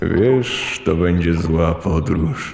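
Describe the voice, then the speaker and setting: Using a put-on character voice with a very deep, low pitch, a man speaks with slight echo. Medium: audio drama. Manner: flat, ominous, repetitive.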